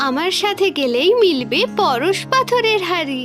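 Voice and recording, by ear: A cartoonish character voice at a fairly slow pace, fairly bright in tone with big pitch swings, over faint music in the background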